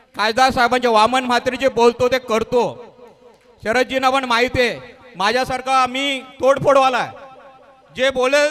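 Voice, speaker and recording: Through noticeable background noise, a man speaks with monotone, flat intonation at an extremely high pitch. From Maharashtra, Raigad/Thane region (Agri community). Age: 50s. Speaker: businessman and local community leader. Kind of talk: speech to an audience.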